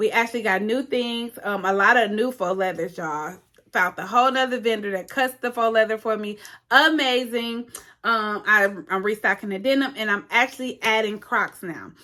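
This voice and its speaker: This woman's voice sits at a fairly high pitch, with a bright, sharp tone and ordinary pitch variation. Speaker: small business owner and craft teacher. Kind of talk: casual vlog talk to viewers. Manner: fast.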